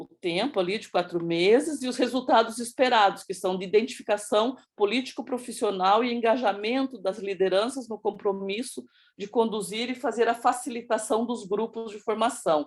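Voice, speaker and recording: A woman with an unremarkable speaking voice and fairly high pitch talks at a moderate pace. She shows ordinary pitch variation and big swings in loudness. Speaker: project presenter in education working group. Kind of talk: presentation. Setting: video call with screen sharing.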